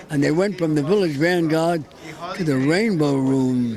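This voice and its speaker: Crowd noise fills the background. A man talks at a fairly high pitch with ordinary pitch variation. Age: 80s+. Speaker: stand-up comedian. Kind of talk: interview answer.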